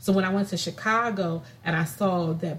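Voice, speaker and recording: With an American accent, a woman speaks in a somewhat breathy, fairly low voice with ordinary pitch variation. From California. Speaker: podcast co-host. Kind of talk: casual chat.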